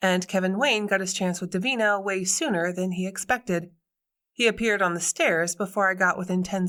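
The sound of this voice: A quiet background sits behind an unforced reading voice.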